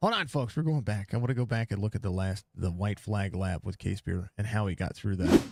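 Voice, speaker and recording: A somewhat breathy man with an American accent and fairly low pitch, at a fairly quick pace with hardly any pauses, in a dry, close sound with no echo and a very clean recording with a silent background. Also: ordinary pitch variation. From US South, Mississippi. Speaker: sim racing broadcaster. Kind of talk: live race commentary; casual post-race chat. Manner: animated.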